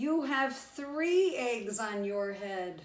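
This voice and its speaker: A woman's put-on character voice at a fairly high pitch. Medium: read story. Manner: calm, matter-of-fact.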